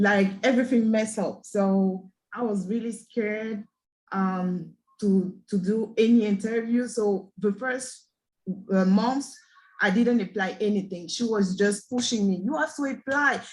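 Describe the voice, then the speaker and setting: Fairly high and somewhat breathy, a woman's voice in a French accent at a fairly slow pace. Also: ordinary pitch variation. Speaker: aspiring scrum master. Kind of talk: group session testimony.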